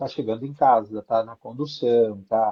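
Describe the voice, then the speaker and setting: A man speaks with an ordinary speaking voice. His intonation stays fairly even. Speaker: branding and positioning specialist. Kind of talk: live stream interview.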